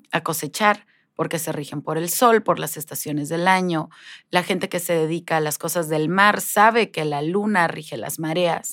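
A woman's ordinary speaking voice, fairly low in pitch, at a moderate pace, on a very clean recording with a silent background. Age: 40s. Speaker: life coach. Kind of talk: interview.

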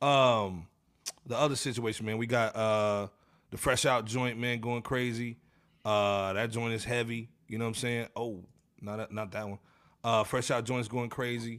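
Man at a medium pitch and moderate pace, very clean recording, silent background. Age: 40s. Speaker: podcast host. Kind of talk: casual chat. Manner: animated.

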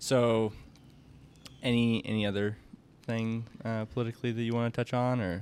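Delivered with monotone, flat intonation and long, frequent pauses, the speech carries a Midwestern American accent. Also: man, medium pitch for a man, moderate pace. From US Midwest. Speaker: podcast host. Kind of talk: casual interview.

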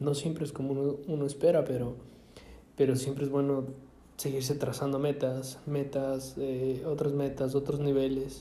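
With a fairly high pitch, a man speaks in a flat monotone at a moderate pace. Audible room echo surrounds his voice. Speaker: podcaster. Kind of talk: casual monologue. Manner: halting, many fillers and repetitions.

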